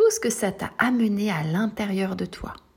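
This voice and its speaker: A woman's soothing, gentle tone at medium pitch and very slow pace, ordinary pitch variation, amid noticeable background noise. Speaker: sophrologist. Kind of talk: guided meditation. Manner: slow, soothing, gentle; calm, reassuring, addressing a child as tu.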